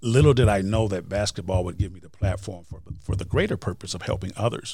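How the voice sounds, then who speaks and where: Fairly low pitch from a man, his voice somewhat breathy. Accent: American. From Wisconsin. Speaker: motivational speaker and author. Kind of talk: interview.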